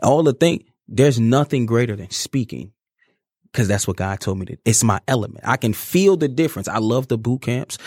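A man with an American accent has a plain, everyday voice at medium pitch, moving at a moderate pace with ordinary pitch variation. The sound is dry and close with no echo, on a very clean recording with a silent background. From Detroit, US Midwest. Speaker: motivational speaker and engineer. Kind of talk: interview, testimony. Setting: studio.

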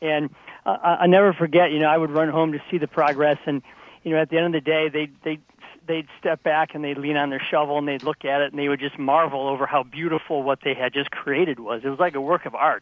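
Man with an American accent, fairly high pitch, fairly even intonation, and a very fast pace. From US Midwest, Ohio (Lake Erie). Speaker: company founder and author. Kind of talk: interview.

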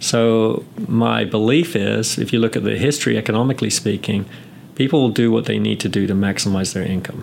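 A fairly quick-paced man amid noticeable background noise. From England. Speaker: nurse anesthetist and professor. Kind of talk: interview. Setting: recorded interview, 2015.

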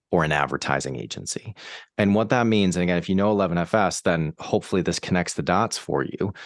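Against a quiet background, an American-accented man speaks very fast at a very deep, low pitch with vocal fry and ordinary pitch variation. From US, Boston. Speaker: marketing agency founder. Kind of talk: interview.

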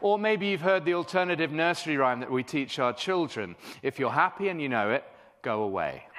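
Fairly quick, fairly high-pitched man's voice with an English accent and lively intonation. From England. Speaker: pastor. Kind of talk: sermon. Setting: church with congregation.

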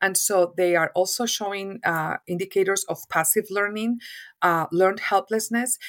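On a very clean, dry and close recording with a silent background and no echo, a woman with a Spanish accent speaks at a moderate pace and medium pitch, with ordinary pitch variation. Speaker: university professor and program director. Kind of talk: interview.

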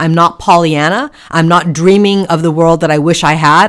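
A woman with a Boston accent has a fairly low pitch. She talks at a moderate pace with ordinary pitch variation. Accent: American, Boston area. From US Northeast, Boston area. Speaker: author and extremism expert. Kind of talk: interview.

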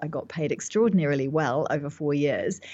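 A woman speaks with a New Zealand accent and ordinary pitch variation. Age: 50s. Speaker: business mentor and author. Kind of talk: interview conversation.

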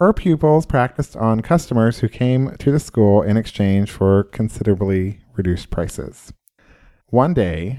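Speaking at a moderate pace with lively intonation, a man with an American accent has a dark, mellow tone. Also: very clean recording, silent background. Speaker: podcast host. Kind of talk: casual chat.

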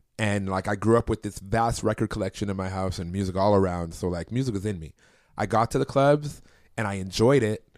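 This voice has a Toronto accent and a fairly quick pace with ordinary pitch variation. The recording is very clean, with a silent background and a dry, close sound with no echo. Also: man, fairly low pitch for a man. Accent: Canadian (Toronto). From Toronto, Canada. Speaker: club and sports team DJ. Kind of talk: casual chat.

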